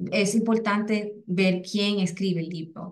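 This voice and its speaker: A woman speaks with a Puerto Rican accent at a medium pitch. Her delivery is fairly slow and monotone, with flat intonation. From Puerto Rico. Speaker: educator, English as a second language specialist. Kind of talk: webinar presentation. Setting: online webinar. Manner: halting, many fillers and repetitions.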